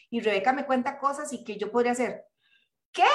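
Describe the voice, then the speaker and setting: With ordinary pitch variation, a woman speaks in a fairly high register. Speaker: participant. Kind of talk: casual chat. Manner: animated.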